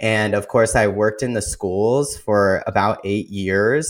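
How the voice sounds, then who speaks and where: A man speaks at a moderate pace with a fairly low pitch. The recording is very clean, with a silent background. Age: 30s. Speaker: lifestyle and fitness coach. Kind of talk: interview.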